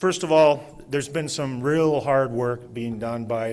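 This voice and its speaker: A man with a Canadian accent, an ordinary speaking voice, a moderate pace and ordinary pitch variation. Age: 60s. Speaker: event moderator, city staff member. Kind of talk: public meeting moderation. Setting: live public open house with audience. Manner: informal, conversational.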